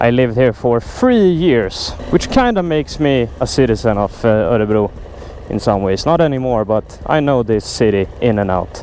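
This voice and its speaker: A man with a Swedish accent speaks at a moderate pace. His pitch swings very widely, over noticeable background noise. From Sweden, Stockholm. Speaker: motorcycle vlogger. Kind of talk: casual vlog talk to camera. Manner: enthusiastic.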